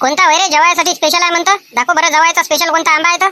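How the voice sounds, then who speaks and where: In an extremely high, cartoonish character voice, a woman speaks very fast in a flat monotone. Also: very even loudness. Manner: brisk, bossy.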